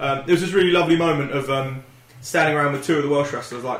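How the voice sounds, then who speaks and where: Noticeable background noise and audible room echo accompany a man whose voice sits fairly high. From Wales. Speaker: podcast co-host. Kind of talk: casual chat. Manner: animated.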